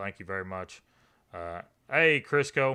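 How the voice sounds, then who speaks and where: A man with a Kentucky accent, bright, sharp tone and fairly slow pace, on a very clean recording with a silent background. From Eastern Kentucky. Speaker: live streamer. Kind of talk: live stream chat with viewers. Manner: casual, conversational.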